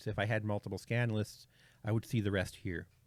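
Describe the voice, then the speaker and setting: Fairly low-pitched man's voice at a fairly quick pace. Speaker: amateur radio tutorial creator. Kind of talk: tutorial. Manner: fast; halting, many filler words.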